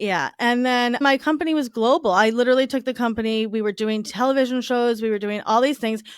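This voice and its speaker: In a slight Long Island accent, a woman talks very fast with hardly any pauses, her high-pitched voice animated with ordinary pitch variation. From Long Island, New York. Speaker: divorce recovery entrepreneur. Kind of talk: podcast interview, personal story.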